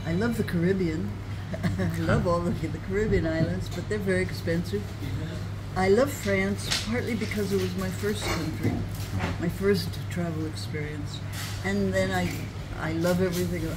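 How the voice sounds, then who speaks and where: There is noticeable background noise as a woman talks. She keeps a moderate pace, broken by long, frequent pauses. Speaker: retired traveller and author. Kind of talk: interview answer. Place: cafe. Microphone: phone near.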